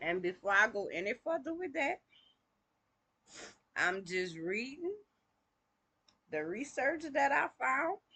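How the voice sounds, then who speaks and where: Her voice high and her tone bright and sharp, a woman speaks at a fairly slow pace with very wide pitch swings and long, frequent pauses. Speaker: online video host reading aloud. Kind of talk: casual chat and reading aloud.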